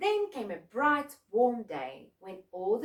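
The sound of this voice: Against a quiet background, the speaker uses an unforced reading voice.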